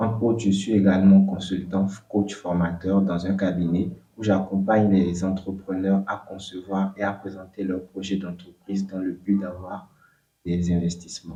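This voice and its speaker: A man speaks with a very deep, low pitch and a dark, mellow tone. His intonation is monotone and flat. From southern Benin. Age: 20s. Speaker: entrepreneur. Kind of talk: interview. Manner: halting, with fillers.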